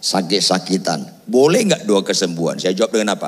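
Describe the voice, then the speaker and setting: The man's tone is animated throughout. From Batak region, North Sumatra, Indonesia. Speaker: pastor. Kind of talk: sermon. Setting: church with congregation, also streamed.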